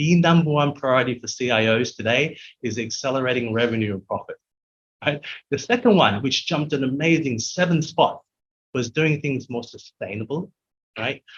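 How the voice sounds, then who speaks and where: A man speaks with an Australian accent at a moderate pace. His somewhat breathy voice sits at medium pitch with ordinary variation. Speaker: technology executive. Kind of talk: interview.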